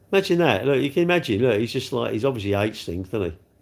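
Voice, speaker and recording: At a very fast pace and with lively intonation, a man speaks in a very clean recording with a silent background. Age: 60s. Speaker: live streamer. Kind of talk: casual chat. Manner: rambling, conversational.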